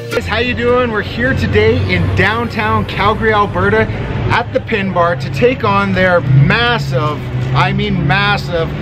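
A man speaks at a fairly slow pace, with clear music playing in the background. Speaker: competitive eating vlogger. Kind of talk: casual vlog chat. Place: street.

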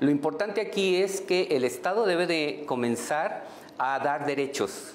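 Light background noise sits behind a man whose intonation is lively. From Mexico. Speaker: historian and LGBT activist. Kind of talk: heated debate. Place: studio. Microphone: lapel.

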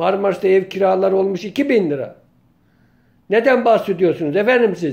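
The pace is moderate and the pitch variation ordinary, all over a quiet background. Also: man, high pitch for a man. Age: 50s. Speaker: local journalist and political commentator; local journalist, political commentator. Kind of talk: political monologue vlog. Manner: impassioned. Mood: indignant, complaining. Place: home room. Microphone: phone near.

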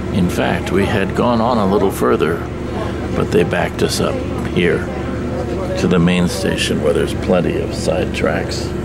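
Clear music plays behind a man speaking at a moderate pace. His pitch varies in an ordinary way, and his pauses are long and frequent. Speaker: train traveler vlogger. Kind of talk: casual vlog chat. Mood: wry, resigned about delay. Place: train. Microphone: phone near.

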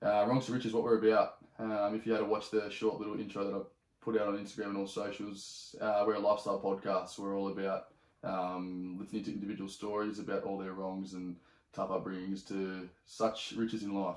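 A man with an Australian accent speaks at a fairly low pitch. The background is quiet, though room echo is audible. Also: fairly quick pace. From Sydney, Australia. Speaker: podcast host. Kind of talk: casual chat. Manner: animated. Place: home room.

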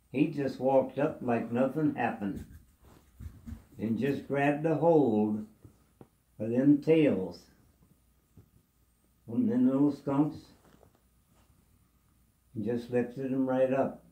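Speaking very slowly in a dark, mellow tone, a man uses ordinary pitch variation with long, frequent pauses, and room echo is audible. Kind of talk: casual storytelling. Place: home room. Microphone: phone near.

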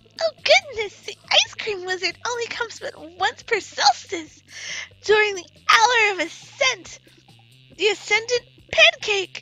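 A woman puts on a character voice at an extremely high pitch, speaking at a fairly slow pace with music playing in the background. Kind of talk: comic overacting. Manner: prim, haughty, formal.

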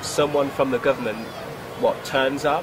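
Noticeable background noise sits behind a man speaking at a fairly quick pace and medium pitch. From UK. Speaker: presenter. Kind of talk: interview question.

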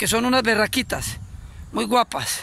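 At a moderate pace, a raised, projected voice with a bright, sharp tone comes through dry, with no echo. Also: man. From Colombia, Antioquia. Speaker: cyclist vlogger. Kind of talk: casual video greeting. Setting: outdoors. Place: open country. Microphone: phone near.

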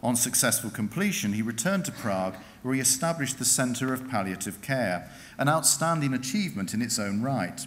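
Lively in intonation, a man talks at a fairly quick pace. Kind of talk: formal ceremonial citation. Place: hall. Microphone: podium.

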